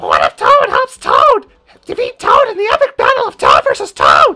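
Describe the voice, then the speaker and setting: A squeaky, put-on character voice at an extremely high pitch and a moderate pace. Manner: yelling.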